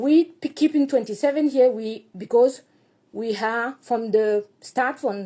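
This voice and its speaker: A woman with a French accent has a high, dark and mellow voice. Her intonation is lively. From Burkina Faso. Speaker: activist speaking about his country. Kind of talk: personal commentary. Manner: halting, non-native phrasing.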